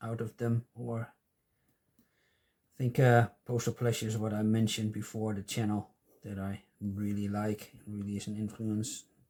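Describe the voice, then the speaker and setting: Speaking fairly slowly with a non-native accent, a man delivers a flat monotone in a fairly low voice with a dark, mellow tone. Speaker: stamp collecting youtuber. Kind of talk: casual chat. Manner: halting. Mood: relaxed, pleased. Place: home room.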